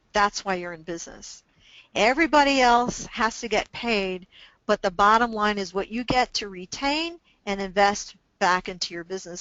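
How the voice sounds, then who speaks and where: Moderate pace and lively intonation from a woman with a plain, everyday voice. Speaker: business consultant and webinar presenter. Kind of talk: webinar presentation. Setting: online webinar.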